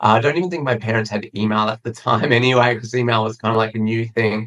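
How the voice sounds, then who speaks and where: This man talks at a very fast pace in an Australian accent. His intonation stays fairly even. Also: medium pitch for a man. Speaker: PR agency founder. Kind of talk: interview. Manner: hesitant fillers.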